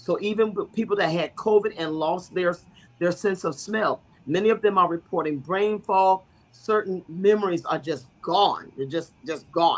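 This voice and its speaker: A woman's normal speaking voice, fairly low in pitch, with ordinary pitch variation and a moderate pace. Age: 60s. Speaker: bishop and guest speaker. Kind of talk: talk-show explainer on health.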